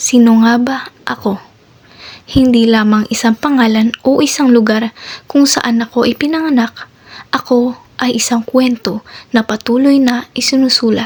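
A woman speaks at a high pitch and moderate pace with fairly even intonation and very even loudness. Noticeable background noise is present. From Philippines, Imus, Cavite. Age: young. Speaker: student presenting herself. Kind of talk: scripted self-introduction. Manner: formal.

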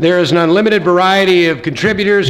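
There is light background noise behind a man's voice. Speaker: event host. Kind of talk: formal ceremony welcome speech. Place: hall. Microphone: podium.

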